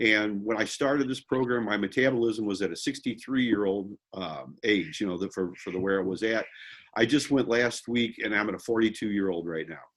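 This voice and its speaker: At a fairly quick pace, this is an ordinary speaking voice with ordinary pitch variation. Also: man, fairly low pitch for a man. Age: 60s. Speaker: real estate investor group member. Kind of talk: casual chat.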